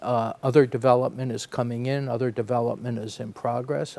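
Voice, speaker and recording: The speaker has an unremarkable speaking voice with fairly even intonation. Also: man. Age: 60s. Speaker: real estate development executive. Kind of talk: podcast interview.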